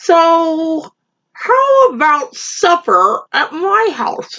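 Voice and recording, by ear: An extremely high-pitched, put-on character voice. It moves at a very slow pace.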